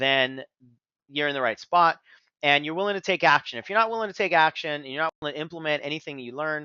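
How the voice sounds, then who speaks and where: Speaking at a very fast pace, a man with a fairly high pitch shows ordinary pitch variation and big swings in loudness. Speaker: business coach. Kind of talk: webinar presentation. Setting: webinar.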